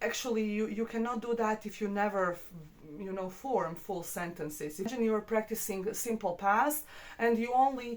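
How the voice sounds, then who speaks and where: A woman with a non-native accent, medium pitch, ordinary pitch variation and a moderate pace. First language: not English. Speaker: English teacher. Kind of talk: tutorial. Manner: hesitant, many fillers.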